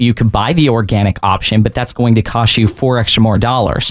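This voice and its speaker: Fairly even intonation in a plain, everyday voice. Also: man. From northern US. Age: 20s. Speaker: radio host. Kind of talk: talk radio. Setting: studio.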